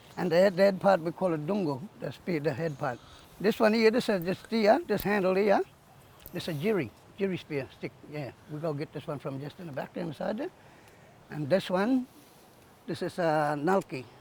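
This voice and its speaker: The speaker's intonation is lively, broken up by long, frequent pauses. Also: man, high pitch for a man, moderate pace. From Far North Queensland, Yarrabah. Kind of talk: cultural demonstration. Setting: outdoors on beach.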